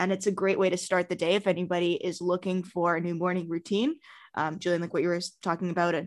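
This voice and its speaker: A woman talks at a fairly quick pace in an unremarkable speaking voice. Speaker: podcast co-host, yoga teacher. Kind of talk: casual interview.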